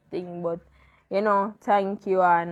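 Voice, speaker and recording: A woman speaks against a quiet background. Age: 20s. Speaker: interviewee sharing grief story. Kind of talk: personal testimony in interview. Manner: halting.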